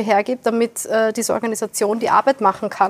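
In an unremarkable speaking voice, a woman talks at a fairly quick pace and fairly high pitch, the sound dry and close with no echo. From Austria, Wiener Neustadt south of Vienna. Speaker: environmental organisation director. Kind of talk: panel discussion. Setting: venue in Vienna, filmed.

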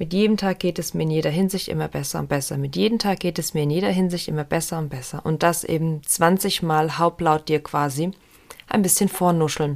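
Her voice is a normal speaking voice with ordinary pitch variation. The woman speaks at a fairly low pitch. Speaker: podcast host and meditation guide. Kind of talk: guided meditation, autosuggestion script read aloud. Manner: calm, slow, soothing, gently paced.

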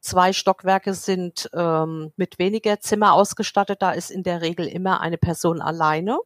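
A woman with a medium-pitched voice speaks at a moderate pace with fairly even intonation and hardly any pauses. The sound is dry and close with no echo. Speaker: head of housekeeping at a clinic. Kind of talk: casual interview. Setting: remote call.

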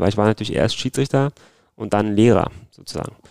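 A man talks at a very fast pace in a dark, mellow tone, the sound dry and close with no echo. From Berlin, Germany. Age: 30s. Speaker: football referee. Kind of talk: interview. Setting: at home in Berlin.

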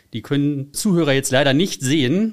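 Fairly quick and fairly high-pitched, the man's delivery comes in a normal speaking voice. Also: very clean recording, silent background. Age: 30s. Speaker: car enthusiast and community founder. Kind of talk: casual interview. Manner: frequent filler sounds.

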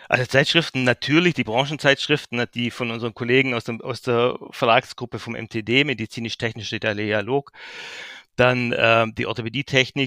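Bright and sharp in tone, a man's medium-pitched voice keeps a fairly even intonation at a moderate pace. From Swabian Jura, Baden-Württemberg (Heidenheim). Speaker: trade magazine editor-in-chief. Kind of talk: interview.

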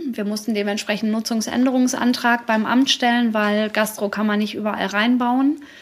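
A woman with a fairly high pitch speaks at a moderate pace in a monotone, flat intonation with hardly any pauses, over noticeable background noise. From Dortmund, Ruhr area, Germany. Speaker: café owner, former designer. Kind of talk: live podcast interview. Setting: live event in her café with audience.

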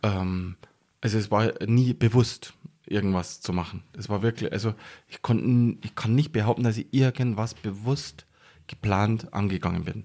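His loudness swinging widely, a man with a fairly low pitch and a dark, mellow tone talks at a fairly slow pace. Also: ordinary pitch variation. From Bavarian Forest near Passau, Bavaria. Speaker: action sports photographer. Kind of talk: casual interview.

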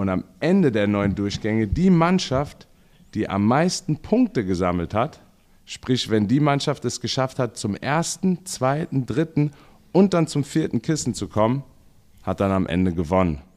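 Very wide pitch swings mark a man's voice in a very clean recording with a silent background. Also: medium pitch for a man, fairly slow pace. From Mainz, Germany. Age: 30s. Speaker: podcast co-host, baseball coach. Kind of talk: casual chat.

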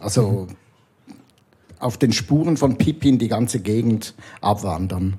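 A man speaks very slowly at medium pitch, in a dark, mellow, somewhat breathy tone. His loudness swings widely while his pitch varies in an ordinary way. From Switzerland. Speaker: comic illustrator. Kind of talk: casual chat. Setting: bookshop bar.

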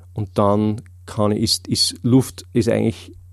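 The man's pitch sits fairly low. His tone is dark and mellow. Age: 30s. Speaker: memory and learning trainer. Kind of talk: casual interview. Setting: studio.

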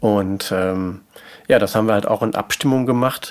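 At a moderate pace, a man talks in a plain, everyday voice with fairly even intonation. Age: 50s. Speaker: stepfather in a patchwork family. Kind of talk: interview.

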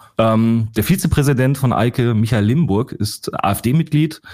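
The speaker has an ordinary speaking voice, moving at a moderate pace with ordinary pitch variation. The recording is very clean, with a silent background. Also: man. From Ruhr area, Germany. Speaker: investigative journalist and fact-checker. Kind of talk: podcast discussion.

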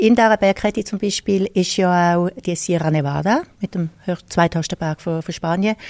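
A woman speaks at a moderate pace and medium pitch, with ordinary pitch variation. The sound is dry and close, with no echo. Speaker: tour guide. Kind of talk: interview. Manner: hesitant, many fillers.

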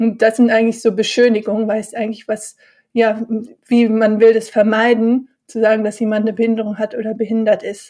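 The voice has a dark, mellow tone and a monotone, flat intonation at a fairly quick pace. The recording is very clean with a silent background. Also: woman, fairly high pitch for a woman. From Bonn, Germany. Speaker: mindfulness and yoga teacher. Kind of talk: casual interview.

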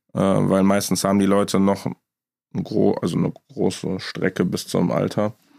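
A man talks at a moderate pace with a fairly low pitch and a dark, mellow tone. His intonation is fairly even, his loudness very even, and the sound is dry and close with no echo. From Düsseldorf, Germany. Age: 20s. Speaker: insurance broker. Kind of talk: casual chat.

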